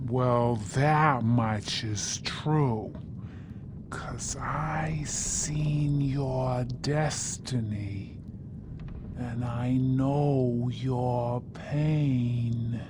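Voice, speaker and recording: A put-on character voice speaks at a very slow pace and a low-to-middle pitch. Loud background noise runs underneath. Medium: video game. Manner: folksy, drawling.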